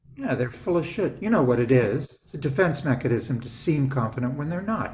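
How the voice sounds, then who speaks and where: Over noticeable background noise, a man talks at a fairly quick pace. His intonation is lively and his loudness swings a lot. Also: fairly high pitch for a man. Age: 60s. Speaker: business coach. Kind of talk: casual interview chat. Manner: animated.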